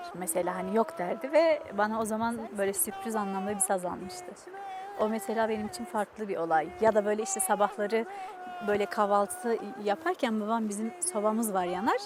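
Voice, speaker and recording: With music in the background, a woman with a fairly high pitch speaks at a moderate pace. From Dersim, eastern Turkey. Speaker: musician. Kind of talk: interview. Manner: hesitant, many fillers.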